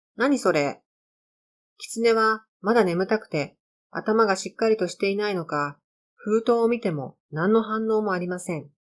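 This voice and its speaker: A woman with an unremarkable speaking voice, fairly high in pitch, at a fairly slow pace with ordinary pitch variation. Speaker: amateur storyteller reading own stories. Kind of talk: narration.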